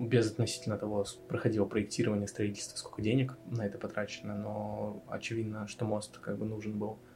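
Music plays behind a man talking at a fairly quick pace. His intonation stays monotone and flat. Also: fairly low pitch for a man. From Russian Far East, Vladivostok. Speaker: designer. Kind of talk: casual chat.

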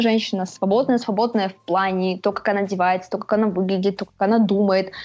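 A woman speaks in a plain, everyday voice. Her pitch sits in the middle of her range and moves by an ordinary amount. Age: 20s. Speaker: blogger on feminism, films and books. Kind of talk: interview.

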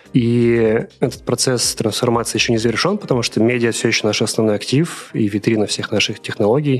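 A man's normal speaking voice, medium in pitch, at a fairly quick pace. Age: 20s. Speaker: media product manager, former editor-in-chief. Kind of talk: interview.

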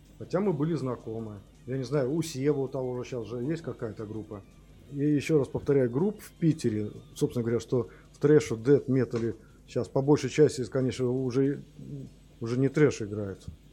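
A man at medium pitch and a fairly quick pace, with ordinary pitch variation, big swings in loudness, long, frequent pauses and music in the background. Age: 50s. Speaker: rock musician, band founder. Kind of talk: interview.

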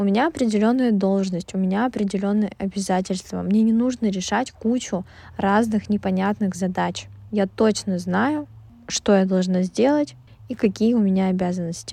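A woman speaks at medium pitch and a moderate pace with a dark, mellow tone. Her loudness is very even, and her pitch variation ordinary. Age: 20s. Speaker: podcast host. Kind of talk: casual monologue. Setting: recording in a closet.

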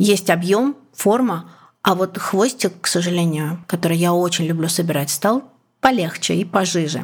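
This is an unremarkable speaking voice with ordinary pitch variation. The pace is moderate. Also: woman, fairly low pitch for a woman. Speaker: journalist and podcaster. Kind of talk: personal story.

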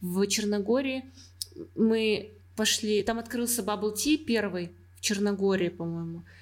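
The speech moves at a fairly slow pace with long, frequent pauses. Pitch variation is ordinary. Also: woman, medium pitch for a woman. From Russia, Ufa. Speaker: design engineer. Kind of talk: casual chat.

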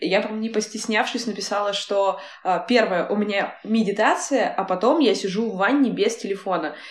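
Noticeable background noise behind a fairly quick, fairly high-pitched female voice with ordinary pitch variation. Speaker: podcast co-host. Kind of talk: casual interview chat.

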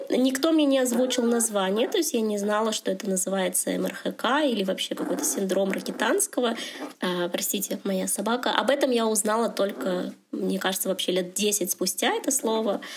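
Over noticeable background noise, the speaker keeps a very even loudness, with ordinary pitch variation and a moderate pace. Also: woman, fairly high pitch for a woman. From Russia, Chelyabinsk. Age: 30s. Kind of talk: casual chat. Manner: halting.

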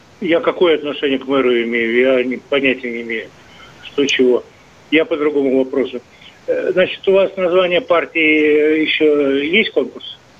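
Noticeable background noise sits behind a man speaking at a fairly slow pace. His pitch is fairly high, with ordinary pitch variation. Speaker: radio caller. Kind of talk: phone-in chat. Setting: phone call.

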